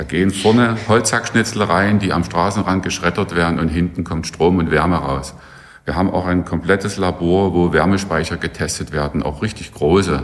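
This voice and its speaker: A man talks at a moderate speed in a very deep, low voice, with ordinary variation in pitch. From Saxony (Saxon Switzerland). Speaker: professor. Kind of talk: interview.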